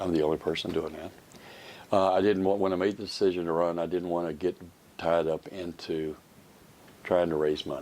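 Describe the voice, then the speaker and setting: Pausing long and often, a man with an American accent talks at a fairly quick pace in a very deep, low voice with fairly even intonation. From Kentucky, Georgetown. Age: 60s. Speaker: political candidate, farmer. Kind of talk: interview.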